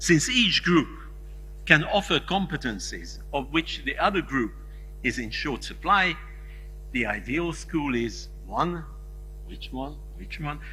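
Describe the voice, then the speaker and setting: A man talks at a very slow pace with long, frequent pauses and big swings in loudness. There is audible room echo, and music plays in the background. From Hungary. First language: Hungarian. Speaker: conference keynote speaker. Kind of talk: lecture.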